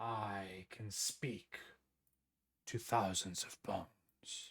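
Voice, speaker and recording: A man uses a put-on character voice at a fairly low pitch. He speaks at a very slow pace with fairly even intonation. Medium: actual play. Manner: slow, formal, solemn.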